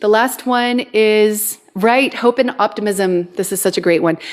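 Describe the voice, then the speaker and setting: Speaking in a normal speaking voice, a woman uses a fairly high pitch with ordinary pitch variation. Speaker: twin flame coach. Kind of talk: live stream talk. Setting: TikTok live stream.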